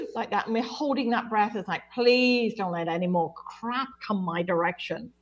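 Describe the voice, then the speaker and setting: In an unremarkable speaking voice, a woman talks at a fairly quick pace with a fairly high pitch. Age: 60s. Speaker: clairvoyant medium. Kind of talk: intuitive reading on radio call-in show.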